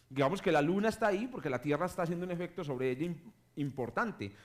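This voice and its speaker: His intonation is lively. The voice belongs to a man with a fairly high pitch. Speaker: astronomy professor. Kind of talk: public lecture. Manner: halting, many self-corrections.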